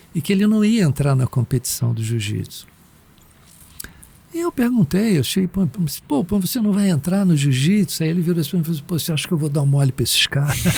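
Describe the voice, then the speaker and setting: Fairly quick, lively speech from a man at a fairly high pitch, loudness very even, with noticeable background noise. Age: 60s. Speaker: meditation teacher. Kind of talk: podcast interview. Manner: casual, slangy.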